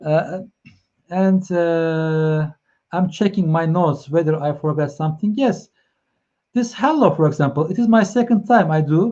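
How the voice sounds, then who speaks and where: Speaking with a Turkish accent, a man uses a high pitch and a dark, mellow tone, moving at a moderate pace with ordinary pitch variation and long, frequent pauses. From Turkey, Ankara. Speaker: live stream host, consultant. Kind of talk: live stream chat. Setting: online live stream. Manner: halting, many fillers.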